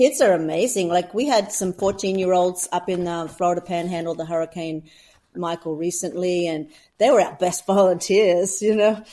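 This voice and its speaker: In an Australian accent, a woman with a fairly low pitch and a dark, mellow tone talks at a moderate pace on a very clean recording with a silent background. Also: ordinary pitch variation. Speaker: humanitarian volunteer leader. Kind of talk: casual interview. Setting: podcast. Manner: animated.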